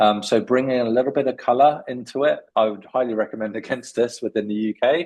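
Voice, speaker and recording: A man with a British accent and medium pitch, very fast pace, hardly any pauses and fairly even intonation. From UK. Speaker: CV writing expert. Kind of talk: webinar Q&A. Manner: hesitant with many fillers.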